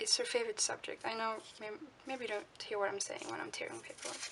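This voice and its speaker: A woman talks in a Swedish accent. Noticeable background noise runs under her voice. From Sweden. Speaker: art journaling vlogger. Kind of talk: casual crafting tutorial narration. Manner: chatty, with fillers and self-corrections.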